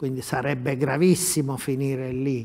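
A man's dark, mellow tone at a fairly slow pace. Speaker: football pundit. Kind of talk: sports talk show discussion. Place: studio.

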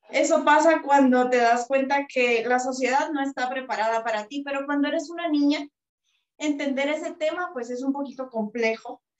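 Against a quiet background with audible room echo, a woman speaks with a Guatemalan accent. Her voice is high-pitched, with fairly even intonation. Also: moderate pace. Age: 20s. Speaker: psychologist and author; interviewee. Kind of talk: interview. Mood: reflective, heartfelt. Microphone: video call.

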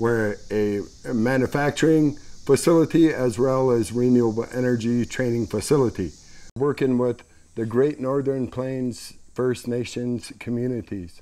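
Ordinary pitch variation in a dark, mellow tone. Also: man. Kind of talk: interview answer. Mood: calm, hopeful. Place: workshop. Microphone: lapel.

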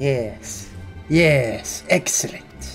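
Clear music plays in the background as a low-pitched, put-on character voice swings very widely in pitch. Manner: theatrical, villainous.

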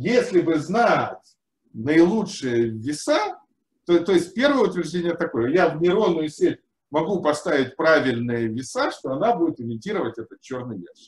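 High-pitched male speech with very wide pitch swings at a moderate pace, in a room with audible echo. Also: big swings in loudness. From Ukraine. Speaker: engineering researcher and lecturer; lecturer. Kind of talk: lecture. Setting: video call. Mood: cheerful, smiling. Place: home room.

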